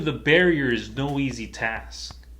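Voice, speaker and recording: This is a man speaking. His voice carries audible room echo. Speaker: motivational vlogger. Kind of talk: motivational talk.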